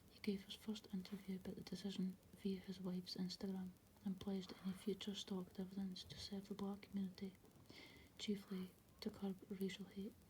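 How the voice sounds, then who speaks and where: The voice is soft-spoken. It moves at a moderate pace. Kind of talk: soft-spoken ASMR magazine article reading.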